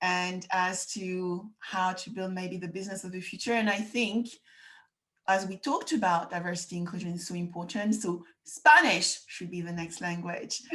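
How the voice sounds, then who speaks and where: With a bright, sharp tone, a woman talks at a moderate pace and medium pitch, with ordinary pitch variation and big swings in loudness. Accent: French. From France. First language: French. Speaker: podcast host. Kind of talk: interview.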